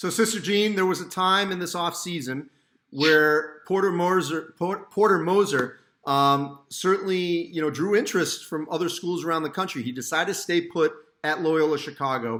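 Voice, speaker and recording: Speaking at a moderate pace, a man has a high pitch, a bright, sharp tone and ordinary pitch variation. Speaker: sports journalist. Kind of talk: interview questions. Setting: video call.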